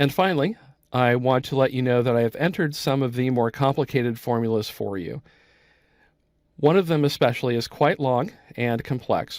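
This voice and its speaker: With an American accent, a man speaks at a medium pitch and a fairly quick pace with ordinary pitch variation, in a very clean recording with a silent background. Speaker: software instructor. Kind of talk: tutorial. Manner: moderate pace.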